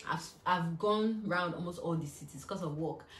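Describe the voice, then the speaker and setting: Over audible room echo, a woman with a fairly low pitch speaks at a fairly quick pace, her pitch varying in an ordinary way. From Nigeria. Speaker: YouTuber. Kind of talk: casual Q&A vlog. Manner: chatty, filler-heavy.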